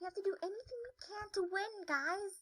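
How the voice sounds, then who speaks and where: Squeaky and extremely high-pitched, a woman's put-on character voice moves at a moderate pace with big swings in loudness. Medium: game stream. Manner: casual, rambling, upbeat.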